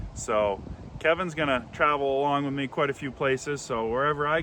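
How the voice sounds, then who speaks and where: Speaking at a fairly quick pace, a man uses a fairly high pitch and fairly even intonation. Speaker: firewood business owner and vlogger. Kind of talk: casual vlog talk to camera. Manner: loud.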